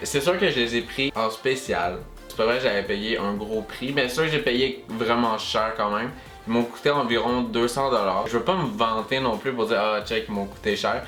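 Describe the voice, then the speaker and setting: Music plays in the background as the speaker talks in a Quebec accent. The pace is moderate and the pitch variation ordinary. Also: man, medium pitch for a man. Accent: Quebecois French. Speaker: YouTuber. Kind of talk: casual talk to camera.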